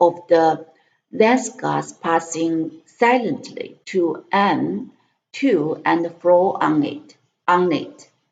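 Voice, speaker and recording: Speaking in a Chinese accent, a woman uses a fairly low pitch with lively intonation and vocal fry. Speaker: language tutor and English learner. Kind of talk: reading aloud. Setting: live stream. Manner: halting.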